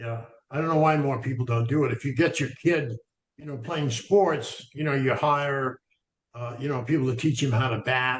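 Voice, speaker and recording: Some breathiness runs through the voice. The delivery is fairly quick. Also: man. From Maine. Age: 70s. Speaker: sprout grower, health speaker. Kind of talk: webinar discussion. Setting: video call.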